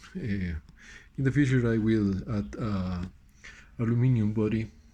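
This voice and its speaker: A man talks at a fairly slow pace in a fairly low, somewhat breathy voice. His pitch variation is ordinary. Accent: Spanish. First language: Spanish. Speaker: audio hobbyist. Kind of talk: casual show-and-tell. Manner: halting, many fillers and repeats.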